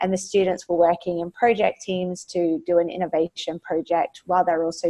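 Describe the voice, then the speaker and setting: Fairly quick and flat in a monotone, a woman with an Australian accent speaks in a dark, mellow tone at a fairly low pitch. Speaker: education technology executive. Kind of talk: webinar presentation. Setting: webinar, remote. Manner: frequent filler words, hesitant.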